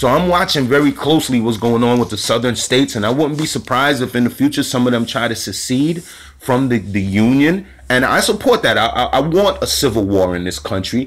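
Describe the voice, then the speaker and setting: A man with an animated tone, lively intonation and a fairly quick pace. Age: 40s. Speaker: spiritual commentator. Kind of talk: monologue. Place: home room. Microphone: phone near.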